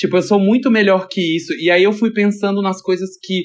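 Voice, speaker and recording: This man speaks with a high pitch. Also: quiet background. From Brasília. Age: 30s. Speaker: stylist. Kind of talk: casual chat.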